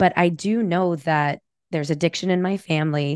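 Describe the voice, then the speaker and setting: In an unremarkable speaking voice, a woman with a fairly low pitch talks at a moderate pace, the sound dry and close with no echo against a quiet background. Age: 40s. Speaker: psychotherapist. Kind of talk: interview.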